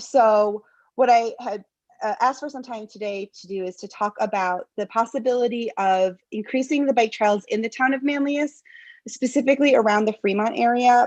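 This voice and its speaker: With an American accent and a normal speaking voice, a woman talks at a moderate pace and fairly high pitch, with ordinary pitch variation against a quiet background. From US Northeast, central New York. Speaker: local resident addressing town board. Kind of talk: public comment at town meeting.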